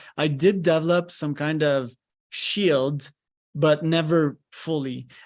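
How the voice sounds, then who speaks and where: Over a quiet background, a man speaks with a fairly high pitch and fairly even intonation. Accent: French. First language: French. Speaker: podcast host. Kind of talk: live coaching session on a podcast.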